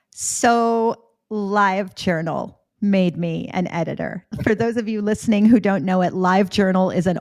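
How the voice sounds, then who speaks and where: A woman with a slight Canadian accent speaks at a medium pitch. She keeps a moderate pace and fairly even intonation. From Florida, US with Canadian summers. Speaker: editor and author. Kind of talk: podcast interview.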